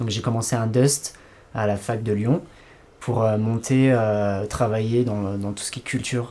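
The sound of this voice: Here a man speaks at a moderate pace, with a fairly low pitch, a dark, mellow tone and fairly even intonation.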